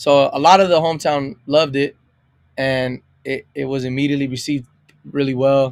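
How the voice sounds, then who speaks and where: Speaking at a fairly quick pace with an American accent, a man uses a fairly high voice and fairly even intonation. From California's Imperial Valley. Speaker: singer-songwriter. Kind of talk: interview. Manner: loud; casual, with fillers.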